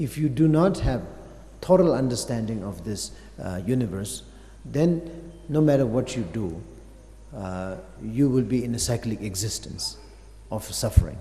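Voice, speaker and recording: Lively intonation carries speech at a moderate pace with long, frequent pauses. Audible room echo surrounds the voice. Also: man, medium pitch for a man. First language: Tibetan. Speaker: Buddhist master teaching. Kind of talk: dharma teaching. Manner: halting, many fillers.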